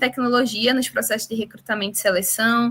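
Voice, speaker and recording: The tone is bright and sharp. A strong Recife accent comes through. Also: woman. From Brazil, Recife (Pernambuco). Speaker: startup representative and webinar host. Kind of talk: webinar introduction. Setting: video call / online webinar.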